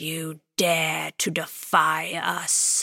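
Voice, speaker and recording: A woman puts on a character voice that is growling and raspy. Her pitch is very deep and low, with monotone, flat intonation. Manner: menacing, growling.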